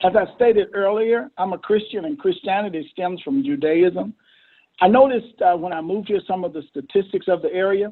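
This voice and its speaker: In a Southern US accent, a man talks fairly quickly at a high pitch. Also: ordinary pitch variation. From Mississippi. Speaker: mayor and pastor. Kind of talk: interview.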